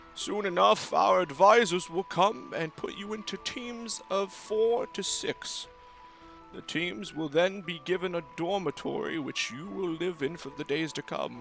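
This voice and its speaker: Over clear music in the background, a man does a put-on character voice, high-pitched, with lively intonation at a moderate pace. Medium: actual play. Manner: formal, ceremonious.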